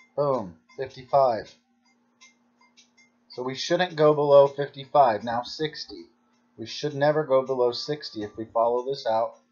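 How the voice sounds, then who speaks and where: Music plays in the background. The speech is fairly slow, with long, frequent pauses. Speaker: baccarat strategy channel host. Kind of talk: gameplay commentary tutorial.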